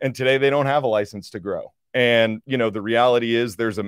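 An ordinary speaking voice, this man talks at a fairly quick pace and a medium pitch. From US Northeast (New Jersey). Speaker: energy investor. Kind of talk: casual chat. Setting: video studio.

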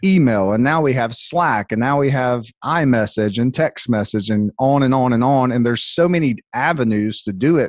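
An ordinary speaking voice from a man with an American accent, at medium pitch and a moderate pace, with ordinary pitch variation. The sound is dry and close with no echo, over a quiet background. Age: 30s. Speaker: salon owner and coach. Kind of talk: casual podcast conversation.

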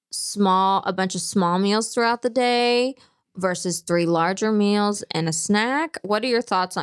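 A woman with a plain, everyday voice talks at a medium pitch with ordinary pitch variation, in a dry, close sound with no echo and a quiet background. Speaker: podcast co-host. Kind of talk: casual chat.

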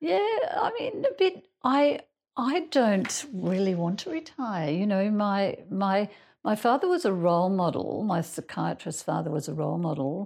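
A woman with an Australian accent at a fairly slow pace, over a quiet background. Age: 60s. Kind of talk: group lunch conversation.

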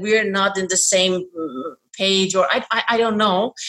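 With a Persian accent, a woman speaks at a moderate pace and uses ordinary pitch variation. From Iran. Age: 40s. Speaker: toy designer and bilingual parenting expert. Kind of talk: interview. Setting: video call.

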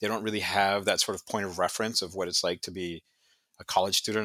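At a very fast pace, a man speaks in a fairly low voice with a bright, sharp tone on a very clean recording with a silent background and a dry, close sound with no echo. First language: not English. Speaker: history professor. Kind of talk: casual interview.

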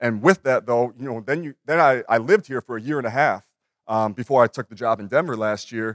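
A man with an American accent speaks at a fairly quick pace, with a medium pitch, ordinary pitch variation and big swings in loudness. The very clean recording has a silent background and a dry, close sound with no echo. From Minnesota. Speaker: NBA assistant coach. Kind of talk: conference panel talk. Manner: halting, many repeated words.

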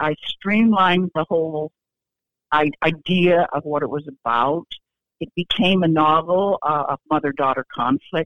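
A woman with an American accent speaks at a fairly slow pace in a very deep, low pitch. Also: ordinary pitch variation. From Iowa. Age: 70s. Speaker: fiction writer. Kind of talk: interview.

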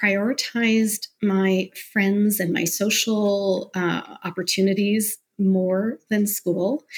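Somewhat breathy and medium in pitch, a woman with a Canadian accent speaks at a very slow pace. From Canada, Mississauga near Toronto. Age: 40s. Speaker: entrepreneur and podcaster. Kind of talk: interview, personal life story.

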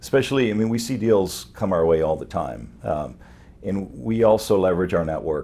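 With a dark, mellow tone and vocal fry, a man speaks at a moderate pace. His intonation is lively. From France (Paris), Lebanese-born. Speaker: wealth management entrepreneur. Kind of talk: interview.

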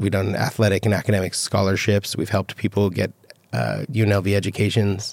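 A man speaks at a moderate pace and fairly low pitch, with vocal fry and fairly even intonation. The sound is dry and close, with no echo. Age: 30s. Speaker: fashion retail executive. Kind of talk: interview.

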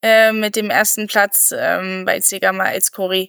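In a dry, close sound with no echo, a woman speaks at a medium pitch in a bright, sharp tone with fairly even intonation. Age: 30s. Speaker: trail runner and doctor. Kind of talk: casual interview. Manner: hesitant, many fillers.

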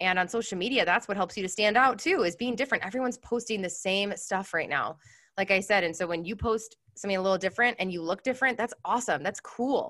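Against a quiet background, a woman talks at a very fast pace with hardly any pauses, using a bright, sharp tone, medium pitch and ordinary pitch variation. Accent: American. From Chicago. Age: 30s. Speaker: entrepreneur. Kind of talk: casual chat.

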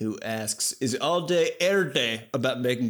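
An unremarkable speaking voice from a man, medium in pitch, with lively intonation. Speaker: game artist and podcast host. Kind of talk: casual comedic chat podcast.

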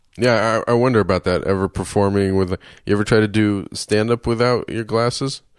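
A man with an American accent has a normal speaking voice and a fairly low pitch. He talks at a fairly quick pace with fairly even intonation against a quiet background. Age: 30s. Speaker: podcast host and comedian. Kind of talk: casual interview.

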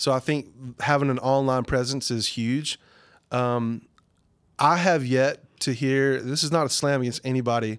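Speaking with a Southern US accent, a man talks at a moderate pace in a medium pitch. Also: fairly even intonation, very clean recording, silent background. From southern Arkansas, US South. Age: 30s. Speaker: worship pastor. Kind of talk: casual interview.

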